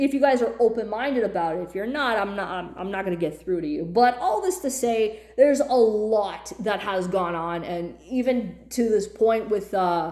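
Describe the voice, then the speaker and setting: A woman speaks at a moderate, fairly high pitch in an animated tone, with lively intonation and hardly any pauses. Audible room echo surrounds her. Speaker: YouTuber. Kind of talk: rant. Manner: loud.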